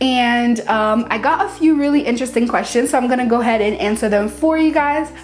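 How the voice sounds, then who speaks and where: Speaking at a fairly quick pace, a woman uses a high pitch with ordinary pitch variation and an upbeat tone. Noticeable background noise can be heard. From Haiti. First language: Haitian Creole / French. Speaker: cake decorating YouTuber. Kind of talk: casual Q&A vlog. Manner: casual, upbeat.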